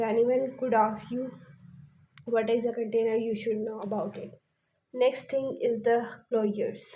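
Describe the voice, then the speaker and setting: A woman speaks in a flat monotone at a fairly high pitch, with a dark, mellow tone. She leaves long, frequent pauses, and the room echo is audible. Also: moderate pace. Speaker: pharmacy lecturer. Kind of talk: lecture.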